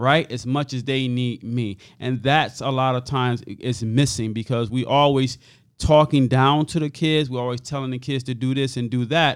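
This man, with an unremarkable speaking voice, keeps a medium pitch and fairly even intonation while talking at a moderate pace. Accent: American. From Hartford, Connecticut. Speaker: youth nonprofit founder. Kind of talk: interview testimony.

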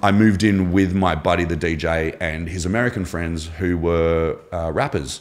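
This man's pitch is very deep and low. He speaks with an Australian accent and fairly even intonation. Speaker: former navy diver and shark attack survivor. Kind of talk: casual interview.

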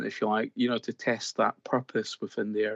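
In a dry, close sound with no echo and a quiet background, a man speaks at a fairly quick pace with a Scottish accent. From Scotland. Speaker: BIM consultant. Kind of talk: casual interview.

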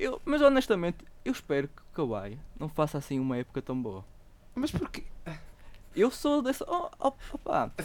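The speaker talks at a moderate pace with a European Portuguese accent. Long pauses come often. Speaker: podcast host. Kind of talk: casual chat.

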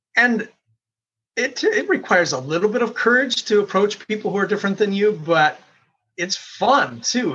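His voice is high-pitched with a bright, sharp tone. The man uses lively intonation. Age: 50s. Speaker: company CEO and podcast host. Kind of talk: podcast interview.

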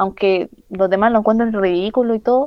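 In a Chilean accent, a woman talks at a moderate pace with a fairly high pitch and ordinary pitch variation. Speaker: professional wrestler. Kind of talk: interview.

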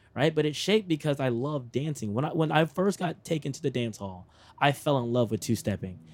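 An unremarkable speaking voice with an American accent, a fairly quick pace and lively intonation. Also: man. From Texas. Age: 20s. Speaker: radio personality. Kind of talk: casual interview. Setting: roadside by the interstate.

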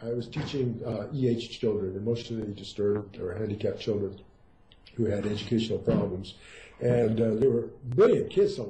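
A man with an ordinary speaking voice, medium pitch, ordinary pitch variation, a moderate pace and big swings in loudness. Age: 60s. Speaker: Zen teacher. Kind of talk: interview.

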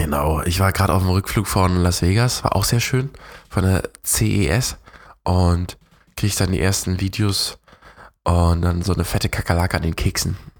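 Very even loudness at a moderate pace. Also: man, very deep, low pitch for a man, ordinary pitch variation. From Germany, near Berlin. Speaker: podcast co-host. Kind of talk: casual chat.

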